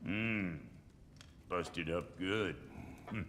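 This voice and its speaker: A gruff, put-on character voice from a man, very deep and low, with clear background noise. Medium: video game. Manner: coarse, gruff, swearing.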